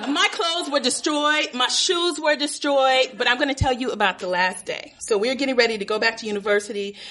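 A woman with a high pitch talks in a raised, projected voice at a fairly quick pace, with lively intonation and hardly any pauses, amid noticeable background noise. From Los Angeles, US. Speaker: storyteller. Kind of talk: live storytelling.

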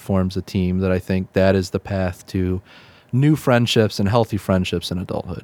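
In a dry, close sound with no echo, a man with a Midwestern accent talks at a moderate pace in a very deep, low voice with a dark, mellow tone. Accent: general Midwestern American.

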